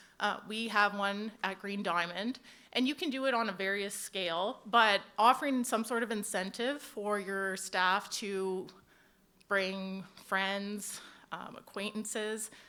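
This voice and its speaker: In a very clean recording with a silent background, a woman speaks loudly at a fairly slow pace, her tone bright and sharp and her intonation fairly even. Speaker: HR manager at equipment dealer. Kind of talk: panel presentation. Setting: conference stage with audience. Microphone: handheld mic held low, close.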